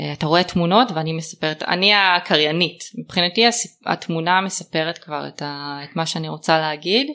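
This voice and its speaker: Her tone bright and sharp, a woman talks at a moderate pace with a fairly low pitch and ordinary pitch variation. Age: 30s. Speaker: trend forecaster, business owner. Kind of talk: interview. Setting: host's home. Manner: hesitant, many fillers.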